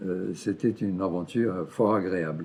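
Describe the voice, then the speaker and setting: The man's voice is very deep and low. He speaks at a very slow pace. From Brazil. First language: Portuguese (speaking French). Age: 70s. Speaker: historian. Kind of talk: interview testimony. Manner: halting, many hesitations.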